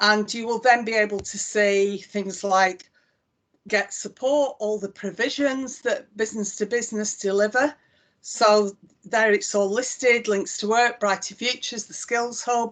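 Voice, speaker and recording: A woman with a Lancashire accent, fairly high in pitch, at a fairly slow pace with fairly even intonation. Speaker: chief executive of an employment support body. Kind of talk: live software demonstration.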